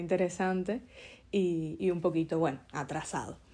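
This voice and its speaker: Speaking fairly slowly over a quiet background, a woman uses a fairly low pitch and a dark, mellow tone with monotone, flat intonation. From Cuba. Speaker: podcast host. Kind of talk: casual interview.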